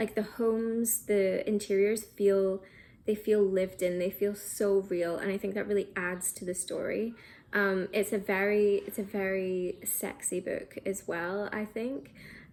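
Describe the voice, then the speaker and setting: The voice is monotone, flat in intonation, and fairly slow, on a very clean recording with a silent background. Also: woman, medium pitch for a woman. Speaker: book reviewer. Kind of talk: casual book recommendation video. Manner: hesitant, many ums.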